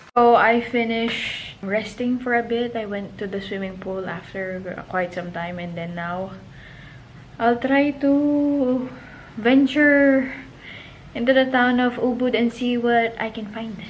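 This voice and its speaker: With a fairly high pitch and ordinary pitch variation, a woman speaks at a fairly slow pace, her loudness swinging widely over noticeable background noise. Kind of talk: casual travel vlog talk to camera. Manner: talkative.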